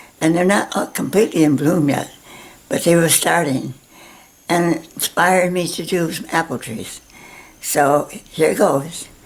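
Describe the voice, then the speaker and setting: The voice moves at a moderate pace with ordinary pitch variation. Background noise is noticeable. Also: woman. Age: 90s. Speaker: painting teacher. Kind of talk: tutorial. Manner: halting.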